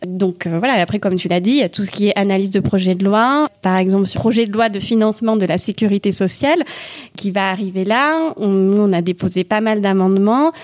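A woman talks at a fairly quick pace in a medium pitch, with ordinary pitch variation. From Toulouse, southern France. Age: 30s. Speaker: parliamentary aide and local councillor. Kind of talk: casual interview. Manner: halting, many fillers.

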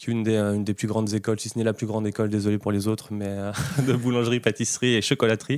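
A man speaks in a fairly low voice. His delivery is fairly quick and monotone, with flat intonation. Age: 30s. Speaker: baker. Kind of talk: interview. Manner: halting.

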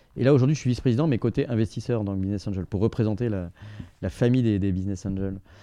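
Over a quiet background, a man with a dark, mellow tone and fairly low pitch speaks at a very fast pace with ordinary pitch variation. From southeastern France, Grenoble and Provence. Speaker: entrepreneur and business angel. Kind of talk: interview conversation. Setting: studio in Paris office. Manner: hesitant with frequent fillers and repetitions.

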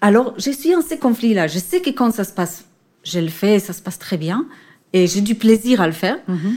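A woman of medium pitch speaks in a somewhat breathy, dark, mellow voice with very wide pitch swings on a very clean recording with a silent background. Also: moderate pace, big swings in loudness. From Israel. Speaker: orchestra conductor. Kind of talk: interview. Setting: theatre.

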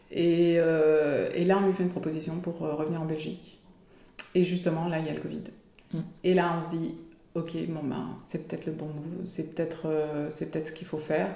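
A woman speaks fairly quickly at a fairly low pitch in a monotone, flat delivery. Long pauses come often, and room echo is audible. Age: 40s. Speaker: former expat mother, small business owner. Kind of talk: interview testimony. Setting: at home.

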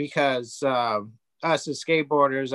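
The man has a bright, sharp tone and talks at a moderate pace. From San Diego, California (partly raised in Japan). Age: 30s. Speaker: pro skateboarder and sober coach. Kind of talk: casual interview.

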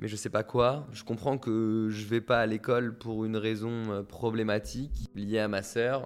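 Speaking fairly slowly with hardly any pauses, a man keeps a monotone, flat intonation. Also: medium pitch for a man. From Paris suburbs, France. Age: 20s. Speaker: author and songwriter. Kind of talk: personal testimony.

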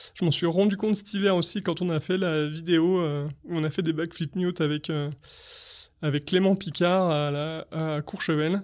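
A man speaks at a high pitch with fairly even intonation. The recording is very clean, with a silent background. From French Alps, Savoie. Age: 30s. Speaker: freestyle skier. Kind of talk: personal storytelling interview. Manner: hesitant with many fillers.

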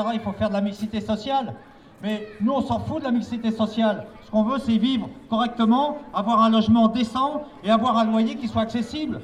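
A man's high-pitched voice, monotone and flat, at a moderate pace. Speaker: housing rights activist. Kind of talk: public speech. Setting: outdoors. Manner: halting.

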